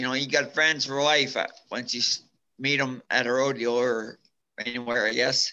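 The voice has a bright, sharp tone and a monotone, flat intonation. It moves at a moderate pace, broken by long, frequent pauses. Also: man, medium pitch for a man. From Alberta, Canada. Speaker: former bull rider and brain injury survivor. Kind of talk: testimony; casual interview.

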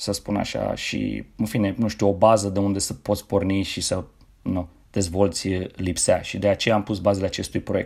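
A man with an ordinary speaking voice, fairly even intonation and a moderate pace, on a very clean recording with a silent background. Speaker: tennis coach. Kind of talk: casual interview.

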